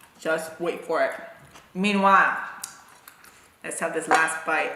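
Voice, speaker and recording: A man's high voice at a fairly slow pace, with fairly even intonation, audible room echo and noticeable background noise. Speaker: food vlogger. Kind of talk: casual chat. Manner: calm.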